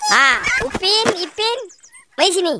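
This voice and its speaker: This cartoonish character voice is pitched extremely high. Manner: warm, easygoing.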